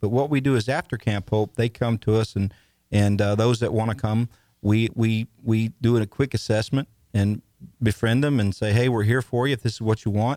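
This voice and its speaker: This is a plain, everyday voice at a moderate pace. The sound is dry and close, with no echo. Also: man, very clean recording, silent background. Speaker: ministry leader for veterans. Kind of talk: radio interview, conversational. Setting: studio.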